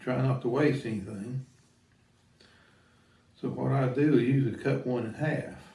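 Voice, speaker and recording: A man speaks at a fairly slow pace with vocal fry, a dark, mellow tone and fairly even intonation. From rural countryside. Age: 60s. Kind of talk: casual how-to talk to camera.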